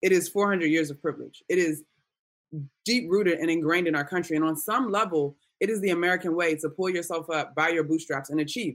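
Fairly low in pitch, this woman has a normal speaking voice and keeps a moderate pace. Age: 30s. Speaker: sports podcast host. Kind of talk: casual discussion.

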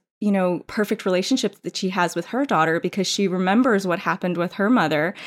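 Speaking at a fairly quick pace, a woman uses a normal speaking voice at medium pitch on a very clean recording with a silent background. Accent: American. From New York City suburbs, US. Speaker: teacher and librarian, podcast panelist. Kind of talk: casual chat.

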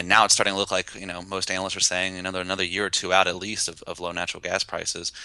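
Speaking very fast with an American accent, a man has a very deep, low pitch, a bright, sharp tone and monotone, flat intonation. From West Virginia. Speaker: energy reporter. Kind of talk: podcast interview. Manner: halting, frequent fillers.

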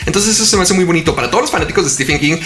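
A man is speaking amid noticeable background noise. The room has an audible echo. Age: young. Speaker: podcast co-host. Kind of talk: casual chat.

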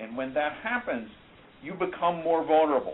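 A man talks at a moderate pace with ordinary pitch variation. It is a normal speaking voice. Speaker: biomedical professor and researcher. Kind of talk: interview.

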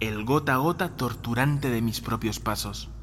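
A man's medium-pitched voice at a moderate pace. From Spain, Madrid. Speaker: journalist and podcast host. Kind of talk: scripted narration.

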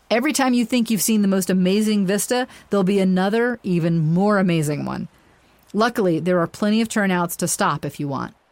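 A woman with a plain, everyday voice talks at a fairly quick pace in a medium pitch, with ordinary pitch variation. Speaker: tour guide narrator. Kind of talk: scripted travel-guide narration, walking listeners through the road trip stop by stop.

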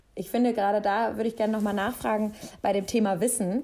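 A woman talks at a fairly quick pace with a dark, mellow tone. Her intonation stays fairly even. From western Germany (Mainz, Cologne). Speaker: podcast host. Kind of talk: interview.

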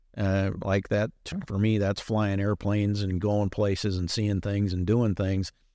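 On a very clean recording with a silent background, a man with an American accent speaks at a fairly slow pace. His fairly low, dark, mellow voice stays monotone and flat, with very even loudness. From US Midwest. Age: 70s. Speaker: surgeon. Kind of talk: casual interview. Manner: halting, many fillers.

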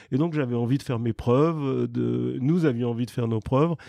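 Over a quiet background, a man speaks at a fairly quick pace in a medium pitch with a dark, mellow tone. The sound is dry and close, with no echo. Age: 70s. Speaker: real estate developer. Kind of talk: interview. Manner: halting.

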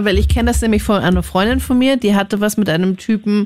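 This woman speaks at a medium pitch. Vocal fry creeps into her voice. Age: 20s. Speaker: radio host. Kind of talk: call-in radio talk.

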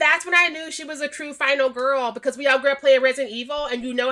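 A woman's raised, projected voice in an American accent, high-pitched with a bright, sharp tone, fairly even intonation and a very fast pace. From Missouri. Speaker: horror writer and podcaster. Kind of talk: casual chat.

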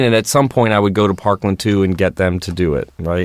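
Recorded very cleanly over a silent background, a man with an American accent speaks at a fairly low pitch with ordinary pitch variation. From Baltimore, Maryland. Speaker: photographer and documentary director. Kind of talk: interview. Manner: halting, many fillers and restarts.

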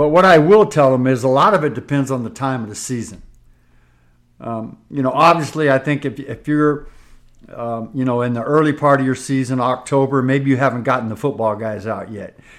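A man with an American accent has a normal speaking voice at medium pitch. He moves at a fairly quick pace with ordinary pitch variation over a very clean recording and a silent background. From US West Coast. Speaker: basketball coach. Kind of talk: casual chat.

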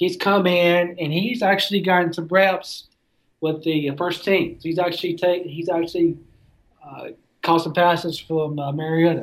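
Spoken at a moderate pace, the voice carries a Southern accent. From Tennessee, near Nashville. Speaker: sports writer. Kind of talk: casual interview.

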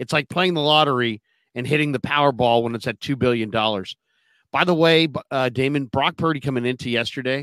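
The voice is an unremarkable speaking voice with ordinary pitch variation at a fairly quick pace. The sound is dry and close with no echo, in a very clean recording with a silent background. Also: man. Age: 50s. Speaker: sports podcast co-host. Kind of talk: casual sports talk.

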